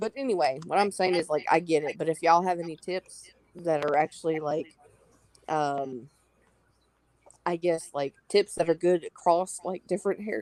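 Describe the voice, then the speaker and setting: Speaking at fairly low pitch with a strong Southern US accent, a woman leaves long, frequent pauses. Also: ordinary pitch variation, moderate pace. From US South, North Carolina. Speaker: live stream panelist. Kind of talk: casual chat.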